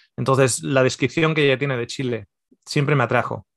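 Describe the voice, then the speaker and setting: This is a man speaking. His pitch is medium. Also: quiet background, dry sound with no echo. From Spain, Basque Country (Mondragón); Basque Country, Spain. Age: 40s. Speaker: nutritionist and theologian; podcast guest. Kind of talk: casual interview. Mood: relaxed storytelling. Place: home room. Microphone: video call.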